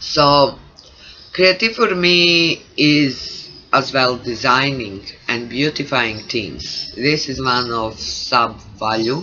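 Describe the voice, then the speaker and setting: A man with a non-native accent speaks at a very slow pace, medium in pitch with lively intonation. Music plays in the background. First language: not English. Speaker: creativity coach. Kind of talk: vlog monologue. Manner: halting.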